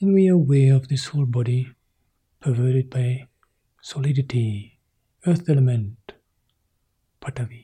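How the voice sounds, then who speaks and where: At a moderate pace with long, frequent pauses, a man speaks in a dark, mellow, somewhat breathy tone at medium pitch with ordinary pitch variation. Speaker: meditation teacher. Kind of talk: guided meditation.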